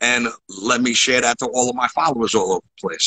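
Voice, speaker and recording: A man's voice with a bright, sharp tone. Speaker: entrepreneur; podcast host, guest. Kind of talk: casual interview. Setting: video call. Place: home room. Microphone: video call.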